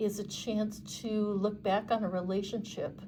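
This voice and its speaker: Somewhat breathy and dark, mellow in tone, a woman speaks at a very slow pace and medium pitch in monotone, flat intonation, with audible room echo. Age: 60s. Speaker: tarot reader. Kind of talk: tarot reading monologue. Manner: halting, many fillers.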